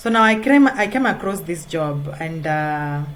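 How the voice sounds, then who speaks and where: Room echo is audible as a woman speaks at a fairly slow pace. Her pitch is fairly low, with ordinary variation. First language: not English. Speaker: freelance writer. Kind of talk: tutorial. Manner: halting, many fillers.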